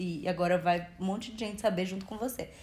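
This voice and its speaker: This woman's somewhat breathy voice moves at a moderate pace with fairly even intonation. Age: 20s. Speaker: podcast host. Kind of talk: casual chat.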